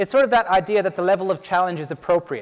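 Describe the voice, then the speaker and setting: A man with an Irish accent talks in a high pitch. His pitch varies in an ordinary way. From Ireland. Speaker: PhD researcher and teacher. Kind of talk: conference talk.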